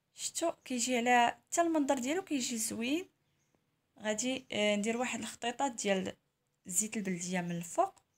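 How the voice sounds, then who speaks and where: A high-pitched woman with a Moroccan accent, very wide pitch swings and a moderate pace. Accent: Moroccan Arabic (Darija). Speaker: cooking channel host. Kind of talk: cooking tutorial. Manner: casual, chatty.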